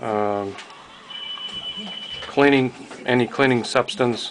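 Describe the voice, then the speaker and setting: Through noticeable background noise, a man at medium pitch speaks at a fairly slow pace. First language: not English. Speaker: airgun hobbyist. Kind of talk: tutorial. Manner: halting.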